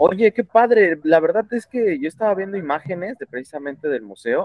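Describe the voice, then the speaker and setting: A man with a normal speaking voice keeps a moderate pace and lively intonation. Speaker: podcast host. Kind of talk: casual interview. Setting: call.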